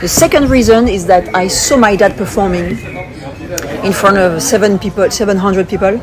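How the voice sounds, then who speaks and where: A woman with a French accent speaks at a medium pitch with ordinary pitch variation, with audible room echo and music in the background. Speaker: magician. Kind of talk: interview. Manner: fast.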